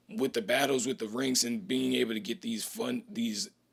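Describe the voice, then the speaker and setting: A man speaks at a medium pitch and a moderate pace, with vocal fry. His pitch swings very widely. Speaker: educational video host. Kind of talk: casual history explainer. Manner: casual slangy.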